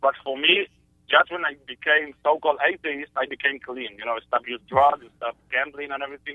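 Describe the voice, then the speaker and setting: A man with an Israeli accent at a very fast pace, fairly high in pitch, with fairly even intonation and big swings in loudness. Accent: Israeli Hebrew-accented English. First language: Hebrew. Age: 20s. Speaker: caller. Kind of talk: call-in conversation. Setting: phone call. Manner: halting, searching for words.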